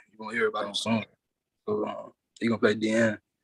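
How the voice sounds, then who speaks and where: Monotone, flat intonation marks this man's delivery. He talks at a very fast pace. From Youngstown, Ohio. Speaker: college football player. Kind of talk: casual interview.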